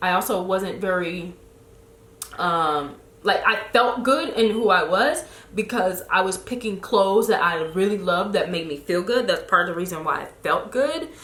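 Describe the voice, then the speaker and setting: A woman with a slight Chicago accent speaks at medium pitch and a moderate pace in an animated tone with lively intonation, amid noticeable background noise and audible room echo. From Chicago, US. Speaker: lifestyle blogger. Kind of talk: casual chat.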